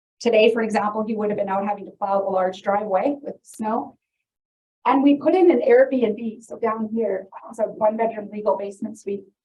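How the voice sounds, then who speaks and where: The voice is somewhat breathy, with a Canadian accent. It moves at a moderate pace with ordinary pitch variation. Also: woman, fairly high pitch for a woman. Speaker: realtor and real estate investor. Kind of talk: seminar presentation. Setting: presentation room with live audience, filmed. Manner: casual, conversational.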